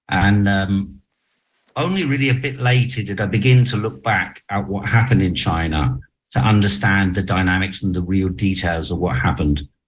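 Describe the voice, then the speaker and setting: A somewhat breathy man with a fairly low pitch, lively intonation and a moderate pace. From half Chinese, half German heritage. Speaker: journalist. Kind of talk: interview. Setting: video call.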